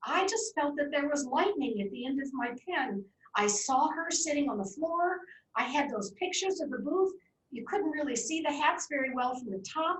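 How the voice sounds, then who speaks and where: A woman with a high pitch at a moderate pace. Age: 70s. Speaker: author. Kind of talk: Q&A at a talk.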